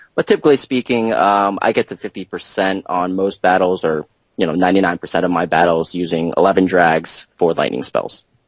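In a dry, close recording with no echo, a man with a very deep, low voice talks at a fairly quick pace, with ordinary pitch variation and hardly any pauses. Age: 20s. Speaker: top-ranked mobile game player. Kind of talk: interview.

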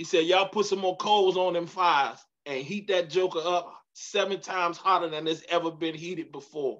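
A man speaks with an animated tone and high pitch at a moderate pace. The background is quiet. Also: hardly any pauses. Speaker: pastor leading Bible study. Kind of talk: midweek Bible study teaching with preaching delivery, call-and-response style. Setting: church livestream on Facebook Live. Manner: animated, emphatic, repeats key lines for emphasis; warm, humorous, engages audience. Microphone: video call.

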